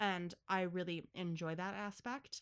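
A woman speaks in an animated tone with a Buffalo accent. The recording is very clean, with a silent background. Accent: Western New York (Buffalo). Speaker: podcast host. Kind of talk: casual chat. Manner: talkative, animated, joking.

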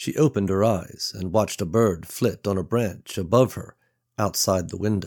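Someone reads aloud in a natural voice, and the background is quiet.

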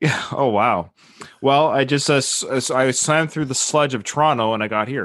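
Here is a man with a Canadian accent and an ordinary speaking voice. He keeps a medium pitch, ordinary pitch variation, and a moderate pace. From western Canada (Victoria, BC). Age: 40s. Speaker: podcaster and military member. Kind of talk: casual chat. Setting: video call.

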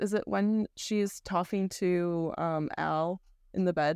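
A plain, everyday voice from a woman at medium pitch, fairly even in intonation, on a very clean recording with a silent background. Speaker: screenwriter and filmmaker. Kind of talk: casual interview chat.

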